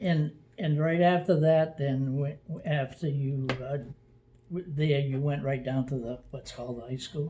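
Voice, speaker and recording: A man speaks in a dark, mellow, somewhat breathy voice. His pace is fairly slow and his intonation fairly even. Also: fairly high pitch for a man. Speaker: oral history interviewer. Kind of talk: oral history interview. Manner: halting, hesitant.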